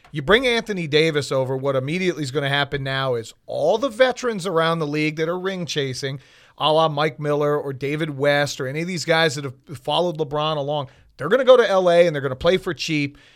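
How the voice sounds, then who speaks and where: Speaking very fast with an American accent, a man has a fairly high pitch and ordinary pitch variation. The recording is very clean, with a silent background. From South Florida (Miami). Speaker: sports radio reporter. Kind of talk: casual chat. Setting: studio.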